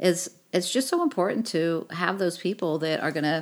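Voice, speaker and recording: Over noticeable background noise, a woman speaks at a fairly low pitch. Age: 50s. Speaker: podcast co-host. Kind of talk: casual chat.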